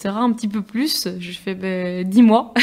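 Intonation here is fairly even. It comes in a normal speaking voice. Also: woman. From Niort, France. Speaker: student activist. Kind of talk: casual chat.

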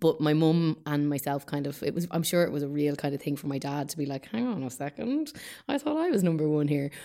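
In an Irish accent, a woman speaks at a very fast pace with a very deep, low pitch and ordinary pitch variation, on a very clean recording with a silent background. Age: 30s. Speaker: actor. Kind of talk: casual chat.

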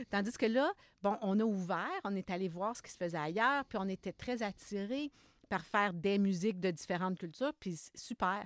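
Speaking with a Quebec accent, a woman uses a fairly high pitch and lively intonation in a very clean recording with a silent background and a dry, close sound with no echo. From Quebec, Lower St. Lawrence region. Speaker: music education professor. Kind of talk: interview.

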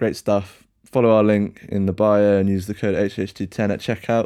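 A man with a British accent, fairly low pitch, and a dark, mellow tone, speaking at a moderate pace in a monotone, flat delivery. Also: very clean recording, silent background. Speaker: podcast host. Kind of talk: casual chat.

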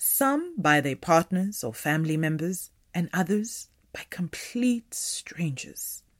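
On a very clean recording with a silent background, a woman speaks at a fairly slow pace, fairly low in pitch, with very wide pitch swings. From South Africa, northern province townships. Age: 30s. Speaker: actress and performance artist. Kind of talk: reading aloud.

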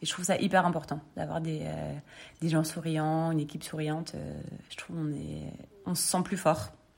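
There's a woman speaking at a moderate speed. Background noise can be clearly heard. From northern France, Lille. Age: 30s. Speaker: clothing brand co-founder. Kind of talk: interview. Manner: hesitant, many fillers.

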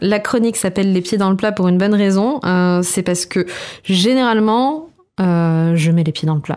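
In a very clean recording with a silent background, a woman speaks in an unremarkable speaking voice at medium pitch, with ordinary pitch variation and very even loudness. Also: moderate pace. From Corsica. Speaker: podcast food columnist. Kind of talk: casual chat.

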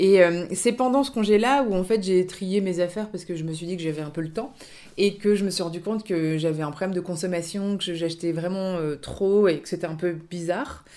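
Her dark, mellow tone sits at a medium pitch as this woman talks at a fairly quick pace with ordinary pitch variation. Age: 30s. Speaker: second-hand clothing shop owner. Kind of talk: interview. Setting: radio studio. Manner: hesitant, many fillers.

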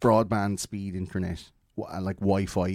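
In a very clean recording with a silent background, a man with an Irish accent speaks at a fairly slow pace and a fairly low pitch. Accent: Irish, Wexford. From Ireland. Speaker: podcast guest. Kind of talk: casual chat.

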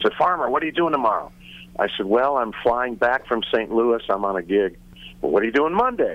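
A man speaks in a plain, everyday voice at medium pitch. His pace is fairly quick and his intonation lively. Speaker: musician. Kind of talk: interview.

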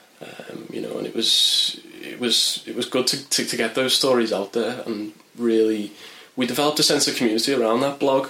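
A man talks in a Merseyside accent over noticeable background noise. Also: fairly quick pace. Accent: Merseyside (Wirral) English. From northern England, Wirral. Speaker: journalist and mental health campaigner. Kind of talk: interview testimony. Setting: in person at charity office. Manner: hesitant, many fillers.

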